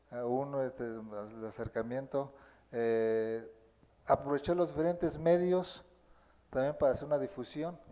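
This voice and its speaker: In a Mexican accent, the speaker talks fairly slowly with a dark, mellow tone and ordinary pitch variation. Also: man, fairly high pitch for a man. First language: Nahuatl (speaking Spanish). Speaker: Nahuatl-speaking teacher. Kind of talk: interview. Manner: halting.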